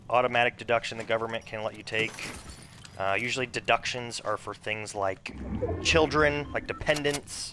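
The voice moves at a moderate pace with ordinary pitch variation. There is noticeable background noise and a dry sound with no echo. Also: man. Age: 30s. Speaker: gaming streamer. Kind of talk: casual live stream chat while gaming. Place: home room.

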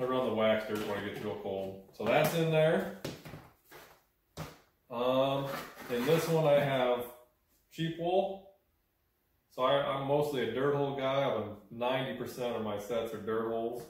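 A man speaks at a fairly slow pace with ordinary pitch variation and long, frequent pauses, amid light background noise and audible room echo. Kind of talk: tutorial show-and-tell. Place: workshop. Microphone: camera far.

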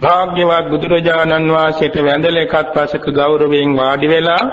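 Very slowly and with fairly even intonation, a man speaks at a fairly high pitch amid audible room echo and noticeable background noise. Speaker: Buddhist monk. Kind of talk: sermon. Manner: formal.

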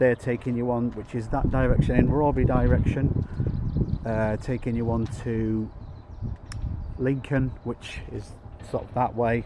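A man at a fairly slow pace, fairly even intonation, dry sound with no echo, and noticeable background noise. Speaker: train vlogger. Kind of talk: casual vlog chat. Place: station. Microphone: phone near.

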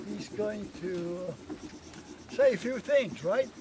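An American accent in a dry sound with no echo, with noticeable background noise. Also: man. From California. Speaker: speaker. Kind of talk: speech at community celebration. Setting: event with live audience. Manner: halting. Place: open country.

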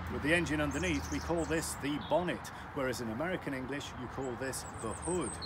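Loud background noise fills the clip. A man talks through it at a moderate pace. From UK. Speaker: English teacher. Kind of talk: educational talk to camera. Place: street. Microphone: phone near.

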